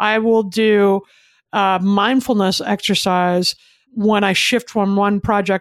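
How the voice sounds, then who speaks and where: Here is a normal speaking voice with fairly even intonation. The recording is very clean with a silent background, and the sound is dry and close with no echo. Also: woman. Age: 50s. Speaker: author and speaker. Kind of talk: interview.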